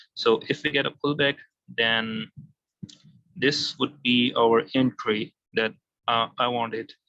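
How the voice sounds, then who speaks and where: Man with a non-native accent and a bright, sharp tone. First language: not English. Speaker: forex trader. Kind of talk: tutorial. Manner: halting.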